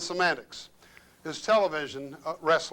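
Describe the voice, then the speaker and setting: His tone bright and sharp, a man speaks at a fairly slow pace with lively intonation. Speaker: lecturer. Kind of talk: lecture.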